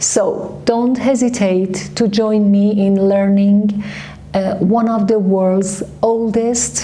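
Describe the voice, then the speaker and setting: A woman with a Persian accent at a very slow pace, her loudness very even, with noticeable background noise and audible room echo. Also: medium pitch for a woman. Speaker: language teacher. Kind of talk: channel intro / promo. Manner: energetic, persuasive.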